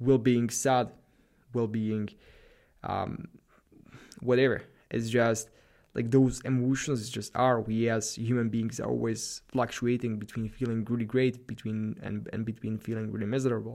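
Speaking at a moderate pace with a Slavic accent, a man at a medium pitch sounds animated and leaves long, frequent pauses. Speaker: podcast host, productivity and self-improvement. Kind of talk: solo monologue, motivational talk. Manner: animated, hyped, motivational.

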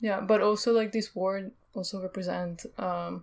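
There is an unremarkable speaking voice from a woman at medium pitch. Her intonation is fairly even, on a very clean recording with a silent background. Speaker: podcast co-host. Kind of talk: casual discussion.

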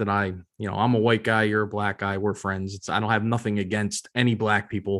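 A man with an American accent speaks in a fairly low pitch. His intonation is monotone and flat, and the recording is very clean with a silent background. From Philadelphia, US. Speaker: podcast co-host. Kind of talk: casual chat. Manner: hesitant, many fillers.

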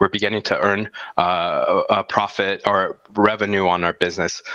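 A man with an American accent and a bright, sharp tone, at a fairly slow pace. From US, El Paso, Texas. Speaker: startup founder. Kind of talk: casual interview.

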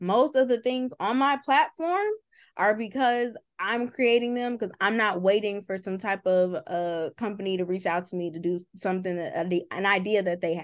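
An American-accented woman with a normal speaking voice, medium pitch, ordinary pitch variation and a moderate pace over a quiet background. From US Midwest. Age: 20s. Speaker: entertainment journalist. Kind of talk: casual interview chat.

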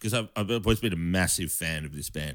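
A man's fairly quick speech with an Australian accent and ordinary pitch variation. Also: very clean recording, silent background. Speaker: bass player. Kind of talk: casual chat. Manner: halting.

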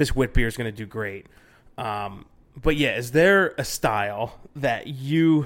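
This man talks at a moderate pace in an ordinary speaking voice, with ordinary pitch variation. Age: 30s. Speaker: brewing podcast host. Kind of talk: casual chat.

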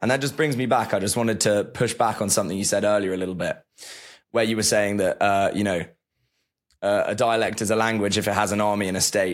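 This man's fairly low voice rushes along at a very fast clip while his intonation stays fairly even. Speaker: student podcast co-host. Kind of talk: casual interview. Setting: video call.

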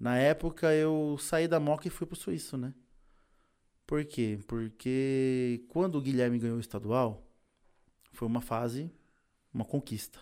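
In a very clean recording with a silent background, a man with a dark, mellow tone and medium pitch speaks fairly slowly, leaving long, frequent pauses. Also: ordinary pitch variation. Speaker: technical instructor and competition trainer. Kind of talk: casual interview. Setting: studio.

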